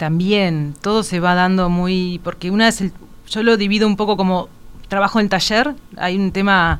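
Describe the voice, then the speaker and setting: At a moderate pace, a woman with an ordinary speaking voice talks with fairly even intonation. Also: medium pitch for a woman. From Uruguay. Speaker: visual artist. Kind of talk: interview. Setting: radio studio.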